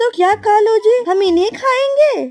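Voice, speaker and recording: Put-on, squeaky character voice from a woman, pitched extremely high. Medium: cartoon.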